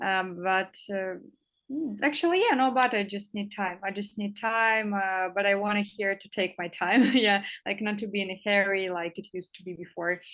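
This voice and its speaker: In a Russian accent, a woman talks at a medium pitch. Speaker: English teacher. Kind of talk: interview. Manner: halting, many fillers.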